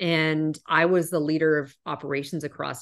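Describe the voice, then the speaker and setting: A woman with a Canadian accent has a very deep, low pitch. The background is quiet. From Canada. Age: 40s. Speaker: corporate executive. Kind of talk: interview.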